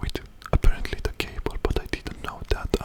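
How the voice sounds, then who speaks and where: A man whispers at a moderate pace in a calm tone. Background noise is noticeable. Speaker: ASMR creator. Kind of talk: ASMR talk to camera. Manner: soft-spoken, calm.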